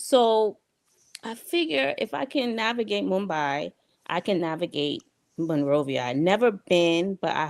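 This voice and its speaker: A woman with a Liberian accent speaks at a fairly low pitch. The recording is very clean with a silent background, and the sound is dry and close with no echo. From New York, US (Queens), Liberian parents. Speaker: diaspora guest on talk show. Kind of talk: interview storytelling.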